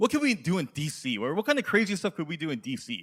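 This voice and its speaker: A man's fairly high-pitched voice with an American accent, very wide pitch swings and vocal fry, in a very clean recording over a silent background. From US, Korean American. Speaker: youth pastor. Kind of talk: sermon. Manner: halting.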